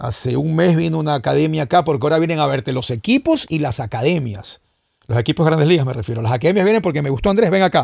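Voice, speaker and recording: A man's fairly high voice at a very fast pace with lively intonation. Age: 50s. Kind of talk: casual chat.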